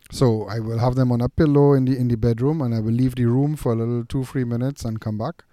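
A man's medium-pitched, dark, mellow voice, very fast with hardly any pauses and fairly even intonation. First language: non-English. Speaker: dog trainer. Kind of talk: podcast discussion. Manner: halting, repeats words.

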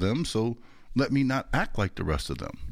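A man speaks with an American accent. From Chicago, Illinois. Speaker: podcast host. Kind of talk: interview.

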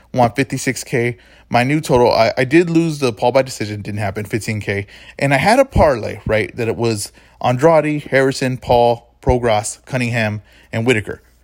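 At a moderate pace and medium pitch, a man speaks on a very clean recording with a silent background. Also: ordinary pitch variation. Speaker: boxing podcast host. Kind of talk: casual chat. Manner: loud.

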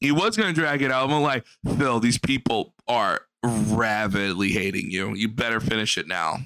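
A man speaks in a bright, sharp tone. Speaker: streamer commentating on a video. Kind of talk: casual reaction commentary. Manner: emphatic, repetitive.

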